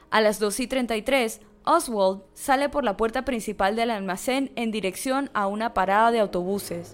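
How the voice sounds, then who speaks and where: A woman speaks in a plain, everyday voice, fairly high in pitch with ordinary pitch variation. Her pace is fairly slow, with hardly any pauses. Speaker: podcast narrator. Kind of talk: dramatic narration of a true-crime story, read in a serious, storytelling tone. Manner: solemn, measured, suspenseful pacing; steady, formal, even delivery.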